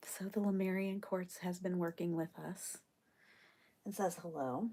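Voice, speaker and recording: A soft-spoken woman with a medium pitch and a dark, mellow tone, at a fairly slow pace with fairly even intonation. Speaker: spiritual card reader. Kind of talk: live stream card reading. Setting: live stream.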